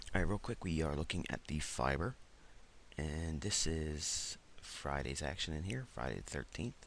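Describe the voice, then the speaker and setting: A man with a very deep, low voice and vocal fry speaks at a moderate pace with lively intonation. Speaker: trading educator. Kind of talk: trading tutorial. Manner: casual, hesitant with fillers.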